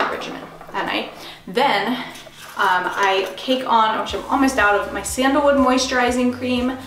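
A woman speaks at a moderate pace. There is noticeable background noise behind her. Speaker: beauty vlogger. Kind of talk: casual tutorial chat. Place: bathroom. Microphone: camera far.

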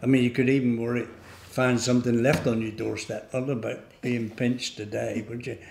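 Audible room echo follows a man with a Devon accent speaking at a moderate pace in a monotone, flat intonation. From England, North Devon (Barnstaple). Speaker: local elder sharing memories. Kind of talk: oral history reminiscence. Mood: relaxed, fond reminiscing. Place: hall.

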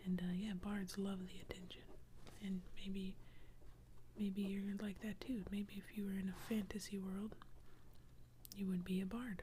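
The speech moves at a moderate pace with long, frequent pauses. There is light background noise. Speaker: ASMR artist and doodler. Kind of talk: whisper ASMR drawing video, narrating while doodling. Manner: casual, friendly, chatty. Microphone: studio mic.

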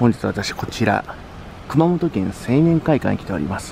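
The intonation is lively. The sound is dry with no echo, and there is light background noise. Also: man. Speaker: youth association leader. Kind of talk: casual talk to camera. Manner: fast. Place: street. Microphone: phone near.

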